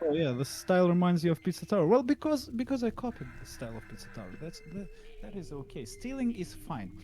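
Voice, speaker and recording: Talking at a very fast pace, a man with a non-native accent uses a high pitch and very wide pitch swings. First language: not English. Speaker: indie game developer. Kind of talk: casual chat. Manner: hesitant, halting.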